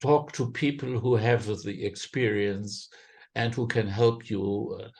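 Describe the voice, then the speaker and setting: Over a quiet background, a man with a German accent speaks in a medium, somewhat breathy voice at a fairly slow pace with fairly even intonation. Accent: German, non-native English. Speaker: impact investment fundraiser. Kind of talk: podcast interview. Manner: halting, many fillers.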